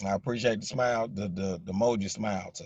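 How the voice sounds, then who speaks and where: With a strong Southern US accent, a man speaks in a relaxed tone at a fairly low pitch with ordinary pitch variation. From US South, Jacksonville, Arkansas. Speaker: social media livestreamer. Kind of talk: casual chat. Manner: relaxed, repetitive filler.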